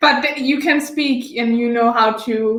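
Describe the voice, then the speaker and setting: A woman with a slight Austrian accent talks at a very slow pace in a high pitch with ordinary pitch variation, and room echo is audible. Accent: German-speaking Austrian accent, slight. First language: German. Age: 20s. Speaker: former exchange student. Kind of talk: casual interview.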